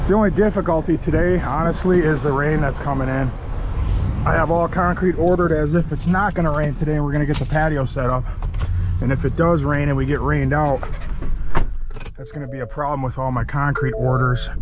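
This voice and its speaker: Someone talks at a fairly quick pace over noticeable background noise, with a dry sound and no echo. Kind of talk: casual vlog chat. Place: car. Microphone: phone near.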